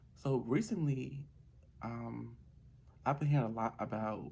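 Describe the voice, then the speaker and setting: The intonation is lively and the voice is quiet. It moves at a moderate pace. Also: man. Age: young. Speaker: vlogger. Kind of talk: casual monologue vlog. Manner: quiet, calm.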